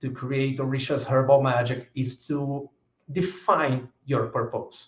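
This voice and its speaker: A man speaks with a Brazilian Portuguese accent. His voice is somewhat breathy. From Brazil, São Paulo. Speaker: author. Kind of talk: lecture. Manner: halting.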